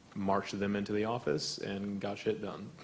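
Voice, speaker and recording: With an American accent, a man with a fairly low pitch speaks at a moderate pace in fairly even intonation. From Texas. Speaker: student activist panelist. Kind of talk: panel discussion.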